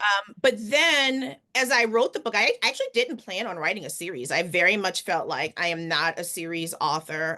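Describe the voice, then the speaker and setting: Speaking at a moderate pace with an American accent, a woman with a medium pitch and a bright, sharp tone swings her pitch very widely and hardly pauses at all. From New Orleans, Louisiana. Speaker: author and physician. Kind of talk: interview answer.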